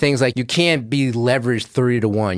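Using a normal speaking voice, a man talks at a moderate pace and medium pitch. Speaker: investigative journalist. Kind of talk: interview.

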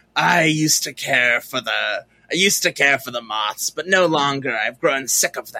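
In a put-on character voice, a woman speaks with very deep, low pitch at a fairly slow pace, with hardly any pauses. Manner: cool, world-weary.

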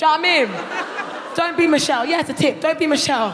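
Over noticeable background noise, a woman with a London accent talks in an animated tone. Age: 30s. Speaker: comedian. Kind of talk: stand-up. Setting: stage with audience.

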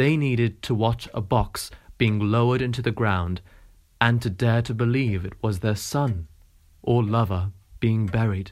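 A man speaks at a medium pitch and a moderate pace, with ordinary pitch variation. His tone is dramatic. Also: very clean recording, silent background. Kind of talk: audiobook reading of novel extracts. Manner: measured, narrative, expressive reading with dramatic pauses.

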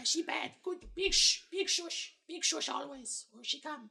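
Pitched extremely high, a put-on character voice moves at a fairly slow pace. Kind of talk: broken, simple speech. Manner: fearful, wary.

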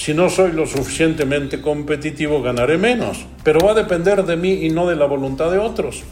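A man speaks at a fairly quick pace with hardly any pauses, his fairly high voice showing ordinary pitch variation, with audible room echo and noticeable background noise. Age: 70s. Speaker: business consultant. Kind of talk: interview conversation.

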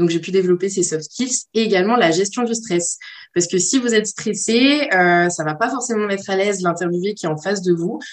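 With an ordinary speaking voice, a woman talks at a fairly quick pace in a medium pitch, using ordinary pitch variation. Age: 20s. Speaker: marketing student. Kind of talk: personal testimony monologue.

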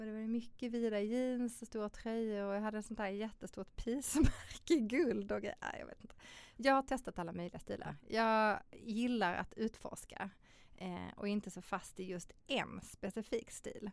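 With a plain, everyday voice, a woman talks at a moderate pace with fairly high pitch, ordinary pitch variation and big swings in loudness. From Sweden, Malmö (Skåne). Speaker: model and fashion designer. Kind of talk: casual interview.

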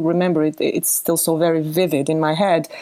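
A woman talks at a moderate pace with a Bosnian accent. Her tone is dark and mellow. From Bosnia, Sarajevo. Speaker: musician. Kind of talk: testimony.

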